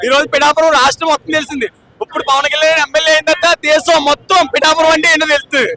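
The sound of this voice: In a dry, close sound with no echo, a bright, sharp tone rushes along at a very fast pace with little pitch movement. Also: man, extremely high pitch for a man.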